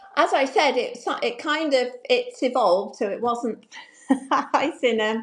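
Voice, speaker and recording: A woman speaks at a very slow pace. Her pitch is high and her intonation lively. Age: 60s. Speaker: confidence coach, retired banker. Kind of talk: interview.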